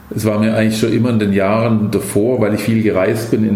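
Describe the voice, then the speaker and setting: A fairly low-pitched man talking at a fairly quick pace, with audible room echo and noticeable background noise. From Swabia, Stuttgart. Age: 50s. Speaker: company founder. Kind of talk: interview.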